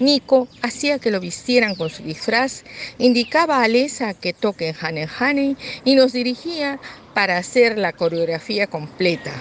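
A woman talks at a fairly slow pace in a fairly high voice with very wide pitch swings. Noticeable background noise is present. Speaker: grandmother. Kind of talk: reading aloud.

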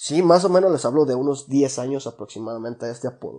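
A man with a Mexican accent speaks at a fairly high pitch in a dark, mellow tone, with ordinary pitch variation. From Mexico, La Piedad, Michoacán. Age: 20s. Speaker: podcast host. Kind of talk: casual monologue. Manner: casual, slangy.

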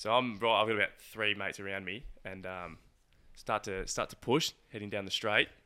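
A man speaks with an Australian accent at a fairly quick pace. His pitch is fairly low. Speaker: podcast co-host. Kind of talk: casual chat.

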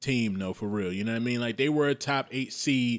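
In a plain, everyday voice with an American accent, a man speaks at a medium pitch with ordinary pitch variation, on a very clean recording with a silent background and a dry, close sound with no echo. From Maryland, US. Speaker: podcast host. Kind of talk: casual chat.

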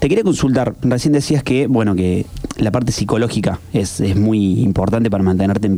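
A man's medium-pitched voice, paced moderately and with normal variation in pitch, comes through against noticeable noise in the background. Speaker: radio co-host. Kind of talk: interview.

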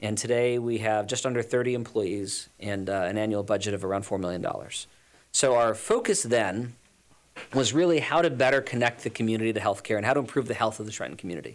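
At a very fast pace, a man with an American accent speaks in a medium pitch with ordinary pitch variation. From US West Coast, Los Angeles. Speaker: nonprofit health executive. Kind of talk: radio interview. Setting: studio.

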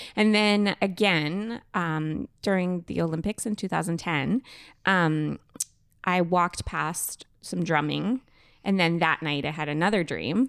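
On a very clean recording with a silent background, a woman has a normal speaking voice of fairly low pitch and ordinary pitch variation. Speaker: podcast co-host. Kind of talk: casual chat.

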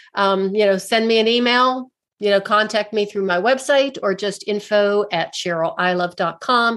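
A woman with an unremarkable speaking voice, ordinary pitch variation, a moderate pace and hardly any pauses, over a quiet background. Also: medium pitch for a woman. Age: 60s. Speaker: alternative physical therapist and author. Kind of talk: interview conversation.

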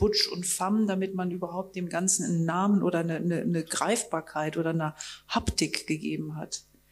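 Fairly quick speech comes through noticeable background noise. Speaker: festival moderator. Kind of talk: onstage interview. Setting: stage with audience. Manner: halting.

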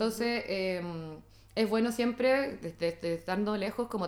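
Fairly even intonation marks this woman's medium-pitched voice. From Chile. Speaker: psychologist. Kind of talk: interview. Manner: fast.

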